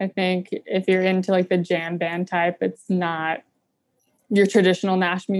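An unremarkable speaking voice: a woman with an American accent, medium pitch and moderate pace, in dry, close sound with no echo and a quiet background. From North Carolina. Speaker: singer-songwriter. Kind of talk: casual interview. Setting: video call.

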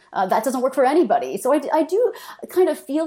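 A woman with a dark, mellow tone and a Canadian accent talks at a very fast pace. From Canada. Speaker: political philosopher, professor. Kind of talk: interview discussion.

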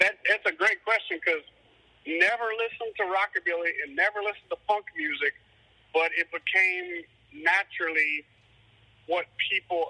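With a Cajun accent, a man talks at a moderate pace with long, frequent pauses, the sound dry and close with no echo. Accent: Cajun Louisiana English. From Louisiana, Cajun. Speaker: musician. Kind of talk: casual interview.

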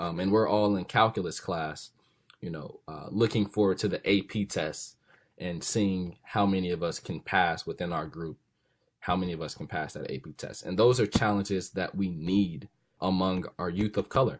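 A man's very deep, low pitch at a moderate pace, fairly even in intonation, against a quiet background. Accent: American. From US, South Central Los Angeles. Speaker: college student. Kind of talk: interview. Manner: casual, with frequent fillers.

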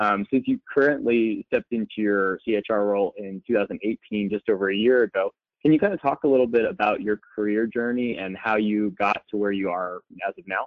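Using a plain, everyday voice, a man speaks at a fairly low pitch and a moderate pace with fairly even intonation. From Florida, West Palm Beach. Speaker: podcast co-host, HR professional. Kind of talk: podcast interview.

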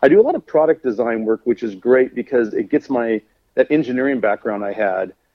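The speaker is a man with a plain, everyday voice at medium pitch. He goes at a fairly quick pace with ordinary pitch variation. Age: 50s. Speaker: custom car painter and designer. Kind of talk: casual chat.

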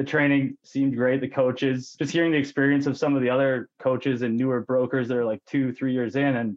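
A man speaks fairly quickly in a western Canadian accent. His pitch is medium and his intonation fairly even. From Canada, British Columbia (Okanagan). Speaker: mortgage broker. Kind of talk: podcast interview.

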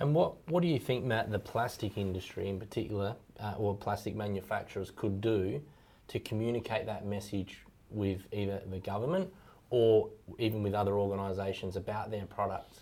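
Dark and mellow in tone, the voice moves at a fairly quick pace with ordinary pitch variation on a very clean recording with a silent background. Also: man, fairly low pitch for a man. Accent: Australian. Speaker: podcast host. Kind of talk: interview.

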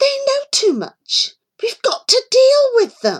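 In a put-on character voice, a female-sounding speaker hisses at an extremely high pitch and a fairly slow pace. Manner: hissed, deadly serious.

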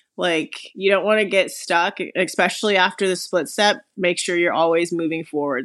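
A woman with a normal speaking voice and an American accent, medium in pitch, at a moderate pace over a quiet background. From US, Las Vegas, Nevada. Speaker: professional tennis player. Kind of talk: casual chat.

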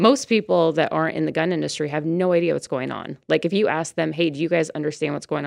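Quiet background behind a woman speaking. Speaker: firearms instructor. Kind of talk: interview. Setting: studio.

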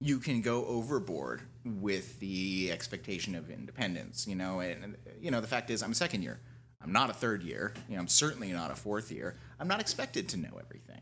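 Over music in the background, a man with a fairly low voice talks at a fairly quick pace with lively intonation. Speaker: second-year resident interviewee. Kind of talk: recorded interview, casual.

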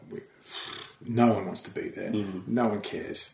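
A man talks with an Australian accent. Noticeable background noise runs underneath. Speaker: comedian and TV writer. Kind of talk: casual interview chat. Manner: easygoing, chilled out.

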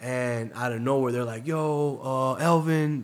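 A man talks in an ordinary speaking voice, medium in pitch with ordinary pitch variation. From Tampa, Florida. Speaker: DJ. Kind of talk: casual interview storytelling.

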